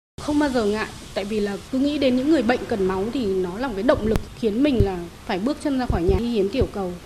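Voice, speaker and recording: Noticeable background noise sits under very fast speech with lively intonation. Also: woman, fairly high pitch for a woman. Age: 40s. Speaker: blood donor. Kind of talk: radio interview testimony.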